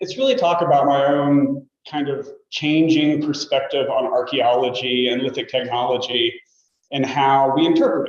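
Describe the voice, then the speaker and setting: The man's voice shows ordinary pitch variation. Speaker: state archaeologist giving a talk. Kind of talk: lecture. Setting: lecture room with audience, also on video call. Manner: loud.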